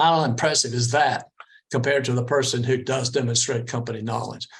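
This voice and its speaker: A man speaks at a fairly quick pace in a somewhat breathy voice. His intonation is monotone and flat. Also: medium pitch for a man. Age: 60s. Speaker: interview coach. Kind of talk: presentation.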